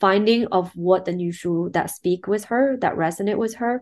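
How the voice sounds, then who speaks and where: A woman of medium pitch speaks at a fairly slow pace with a Chinese accent. Her pitch varies in an ordinary way over a quiet background. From China, Shanghai. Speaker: film producer and director. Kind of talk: interview. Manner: hesitant, many fillers.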